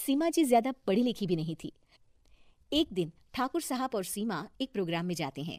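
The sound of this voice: A woman's slightly mellow voice with big pitch swings at a moderate pace, dry and close with no echo, in a very clean recording with a silent background. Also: medium pitch for a woman.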